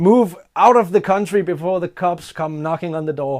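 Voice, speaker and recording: A man speaks with a non-native accent and high pitch. His intonation is lively. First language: Danish. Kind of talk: casual talk to camera.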